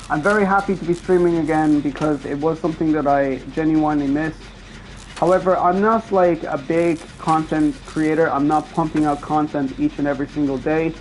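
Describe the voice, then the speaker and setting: A fairly quick delivery with noticeable background noise behind it. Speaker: streamer. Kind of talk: casual gameplay commentary. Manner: hesitant, stuttering.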